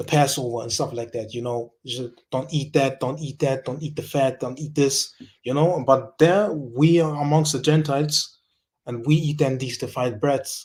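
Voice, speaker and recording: A man speaks in a fairly high, somewhat breathy voice. His intonation stays fairly even. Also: moderate pace. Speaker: religious speaker. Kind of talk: scripture teaching. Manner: halting, many fillers and repetitions.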